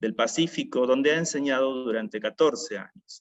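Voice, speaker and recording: A man talks at a moderate pace. His is a normal speaking voice, pitched fairly high. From Argentina, Rosario (Santa Fe). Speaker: event moderator, chaplain. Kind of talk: formal introduction of a speaker.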